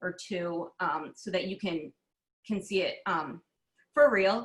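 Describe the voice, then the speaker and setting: Here is a woman with a plain, everyday voice. She speaks at a medium pitch and a moderate pace. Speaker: craft fair and gallery director. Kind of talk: webinar presentation and demo.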